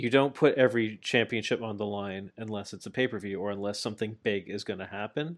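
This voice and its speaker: Recorded very cleanly against a silent background, a man with a fairly low pitch talks very fast with hardly any pauses and ordinary pitch variation. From Canada. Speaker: wrestling podcast host. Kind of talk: casual chat. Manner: calm, measured.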